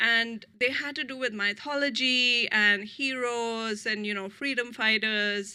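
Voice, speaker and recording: A woman with an Indian accent speaks fairly high in a bright, sharp tone, at a fairly slow pace with fairly even intonation. The recording is very clean, with a silent background. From India, New Delhi. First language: Hindi. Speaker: author. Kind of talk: author talk.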